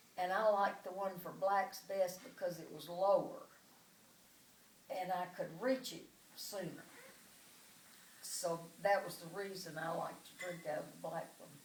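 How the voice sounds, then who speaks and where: Amid audible room echo, a woman with an Arkansas accent speaks in a medium pitch with fairly even intonation and long, frequent pauses. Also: moderate pace, big swings in loudness. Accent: Southern US (Arkansas). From US South, Arkansas (Pine Bluff). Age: 80s+. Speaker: oral history interviewee. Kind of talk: oral history testimony.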